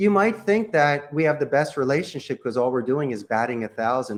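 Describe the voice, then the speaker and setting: Lively intonation marks this man's fairly high-pitched voice. He speaks at a moderate pace with a Philadelphia accent. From Philadelphia, US. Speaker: call center CEO. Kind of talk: podcast interview.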